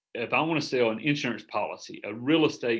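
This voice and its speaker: On a very clean recording with a silent background, a man with a Southern US accent speaks at a medium pitch with ordinary pitch variation. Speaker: business coach. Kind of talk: group coaching call. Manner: casual, rambling with fillers.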